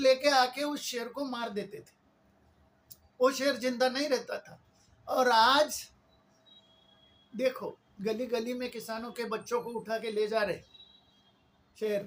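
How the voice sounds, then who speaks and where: Pitched extremely high for a man, his voice shows ordinary pitch variation. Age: 70s. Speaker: political activist. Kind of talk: political monologue. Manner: impassioned.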